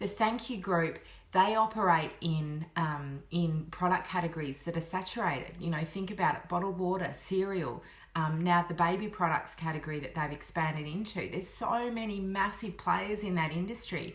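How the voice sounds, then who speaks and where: The voice has an Australian accent and ordinary pitch variation. Audible room echo is present. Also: woman, fairly low pitch for a woman. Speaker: business coach. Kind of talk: vlog-style tutorial. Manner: fast; animated.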